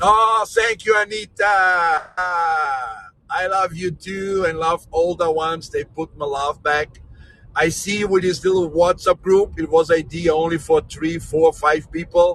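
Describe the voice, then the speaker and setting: Noticeable background noise surrounds a man speaking at a high pitch with ordinary variation. His pace is fairly slow. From Brazil, raised in Austria. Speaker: tour guide. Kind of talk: live-streamed guided tour chat. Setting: in a car.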